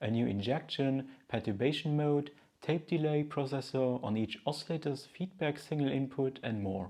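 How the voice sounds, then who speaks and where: A medium-pitched man's voice, dark and mellow in tone, with a Luxembourgish accent, a moderate pace, ordinary pitch variation and a quiet background. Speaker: synth news video host. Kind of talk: news commentary.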